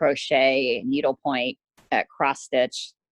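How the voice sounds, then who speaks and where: In a dry, close sound with no echo, a woman speaks very slowly in a very deep, low, monotone voice. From northern Florida (Tallahassee), born in Holland. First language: Dutch. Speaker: craft shop owner. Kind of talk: interview.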